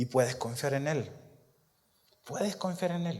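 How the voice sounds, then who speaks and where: A man speaks with lively intonation. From Chile. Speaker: pastor. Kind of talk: sermon.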